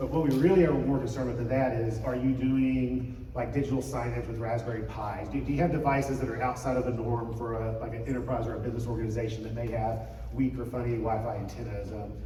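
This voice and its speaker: Amid noticeable background noise and audible room echo, the man's words rush out at a very fast pace. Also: hardly any pauses. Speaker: conference speaker on church IT wireless. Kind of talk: conference talk. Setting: stage with audience. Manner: casual, filler-heavy.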